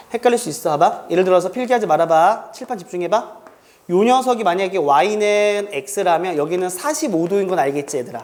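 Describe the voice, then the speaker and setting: Noticeable background noise runs through the clip. The pace is fairly quick. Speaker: math teacher. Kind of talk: classroom lecture. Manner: speeds up when inspired; casual, interactive.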